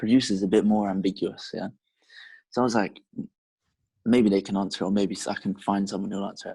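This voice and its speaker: A man with a London accent talks at a very fast pace, broken by long, frequent pauses, in a fairly low pitch with a dark, mellow tone. His intonation is monotone and flat, his loudness swings widely, and the recording is very clean with a silent background. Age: 18 or 19. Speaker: podcast host. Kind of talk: casual chat.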